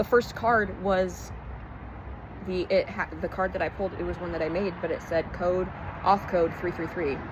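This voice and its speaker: Noticeable background noise sits behind the speaker. A woman talks at a fairly quick pace. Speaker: spiritual vlogger. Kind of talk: casual vlog monologue. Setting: outdoors. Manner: halting.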